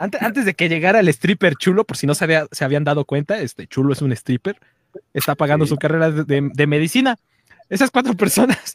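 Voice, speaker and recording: A man with lively intonation at a very fast pace, the sound dry and close with no echo. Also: fairly high pitch for a man. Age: 40s. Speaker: podcast host. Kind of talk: casual chat. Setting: livestream.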